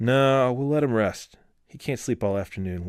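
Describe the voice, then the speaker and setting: Using a put-on character voice at medium pitch, a man talks at a moderate pace. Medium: read story. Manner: dry.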